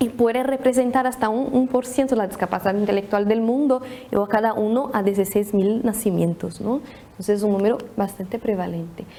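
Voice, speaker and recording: A woman with a Brazilian accent talks at a fairly quick pace with a fairly high pitch and very even loudness over noticeable background noise. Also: ordinary pitch variation. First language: Portuguese (speaking Spanish). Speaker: pediatric neurologist. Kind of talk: presentation. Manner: halting, many restarts.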